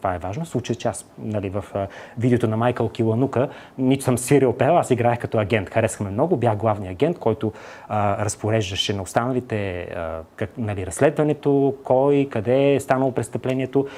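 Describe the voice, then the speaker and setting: Talking at a fairly quick pace, a man uses a dark, mellow tone with ordinary pitch variation. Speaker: actor. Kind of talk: TV interview. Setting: TV studio. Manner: hesitant, many filler sounds.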